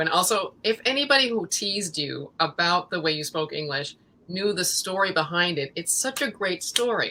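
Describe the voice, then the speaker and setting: A woman with a Midwestern accent talks at a moderate pace in a medium pitch. Her tone is animated and her intonation lively. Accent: American, Midwestern-sounding. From Central America, North Africa, Middle East and Connecticut. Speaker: actress and writer. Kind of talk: interview conversation.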